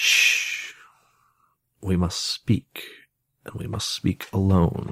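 In a put-on character voice, a man growls in a hoarse tone at a very slow pace with long, frequent pauses, the sound dry and close with no echo. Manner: hushed, urgent.

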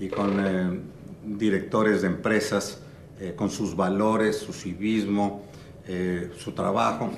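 A man's fairly low-pitched voice. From Mexico City. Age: 60s. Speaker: entrepreneur and advisor. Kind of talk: interview. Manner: animated; halting.

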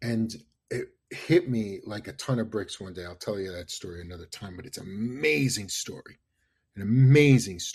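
Here a man with a New York accent speaks in a fairly low, somewhat breathy voice. His intonation is lively and his pace moderate. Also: big swings in loudness. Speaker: marketing consultant. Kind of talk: interview. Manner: animated.

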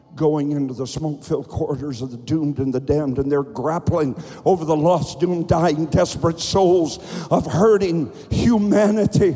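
A man speaks at a moderate pace with a fairly high pitch and ordinary pitch variation. Noticeable background noise runs under his voice. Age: 60s. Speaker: pastor. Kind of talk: sermon. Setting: church. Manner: animated; loud.

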